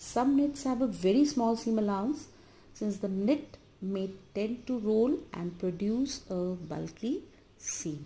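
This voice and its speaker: Speaking at a very slow pace with an Indian accent, a woman uses lively intonation in a fairly high, somewhat breathy voice with a dark, mellow tone. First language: Hindi. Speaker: college lecturer. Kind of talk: lecture. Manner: halting, many filler uh's. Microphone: phone near.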